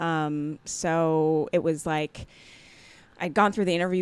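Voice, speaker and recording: A woman with an unremarkable speaking voice and a General American accent talks at a fairly low pitch and a fairly slow pace, with fairly even intonation, on a very clean recording with a silent background. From Jamaica born, raised Maryland near Washington DC. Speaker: comedian and actor. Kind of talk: casual interview chat.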